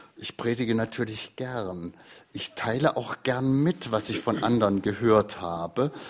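A man talks at a fairly slow pace. His medium-pitched voice shows ordinary pitch variation. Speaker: retired literary radio editor and host. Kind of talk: interview. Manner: spontaneous free-flowing speech.

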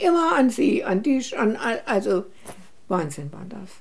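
A woman talks fairly slowly in a high voice. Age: 80s+. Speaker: women's rights activist. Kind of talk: interview. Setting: at her home.

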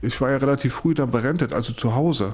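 This man's voice sits at a fairly high pitch. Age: 40s. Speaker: cochlear implant patient. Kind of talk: interview testimony. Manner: halting.

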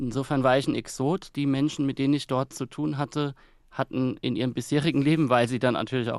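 At a fairly quick pace, a man uses an ordinary speaking voice with medium pitch and fairly even intonation. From Kaiserslautern, Palatinate, Germany. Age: 30s. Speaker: author and newspaper editor. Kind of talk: radio interview. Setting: remote line from Berlin.

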